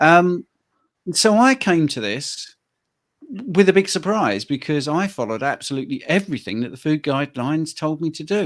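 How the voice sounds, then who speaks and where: The recording is very clean, with a silent background. A man with a British accent speaks at a moderate pace. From UK. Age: 60s. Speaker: health coach. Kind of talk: interview conversation.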